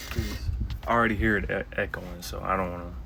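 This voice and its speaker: A soft-spoken man with a fairly low pitch, at a moderate pace. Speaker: bible teacher. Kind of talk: bible lesson. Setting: outdoors. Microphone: echo.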